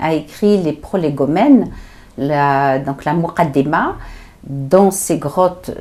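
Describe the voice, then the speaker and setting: A woman speaks at a very slow pace with lively intonation. Her tone is dark and mellow. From Algeria. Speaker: storyteller. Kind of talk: interview answer.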